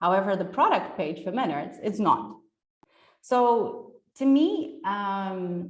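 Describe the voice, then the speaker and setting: Speaking at a very slow pace with lively intonation, a woman is heard in a room with audible echo. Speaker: SEO specialist giving a conference talk. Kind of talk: presentation. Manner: enthusiastic.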